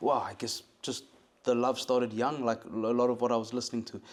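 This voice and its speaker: This man speaks with a South African accent. His pitch sits in the medium range. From South Africa, Cape Town. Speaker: musician and producer. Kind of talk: interview. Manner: halting, many fillers.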